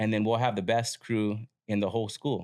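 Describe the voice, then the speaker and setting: A fairly low-pitched man with an American accent at a fairly quick pace, on a very clean recording with a silent background. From Southern California. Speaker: podcast host. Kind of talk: casual interview chat.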